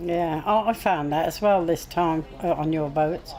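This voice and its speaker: Music plays in the background, and there is audible room echo. The speech moves at a moderate pace. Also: woman. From Stoke-on-Trent, northern England. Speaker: former working boatwoman. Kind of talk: casual chat.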